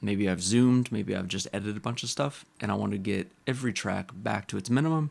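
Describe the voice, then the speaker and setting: A man with vocal fry speaks at a fairly quick pace with lively intonation, in a very clean recording with a silent background. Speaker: composer. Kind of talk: tutorial screen-recording talk. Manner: casual.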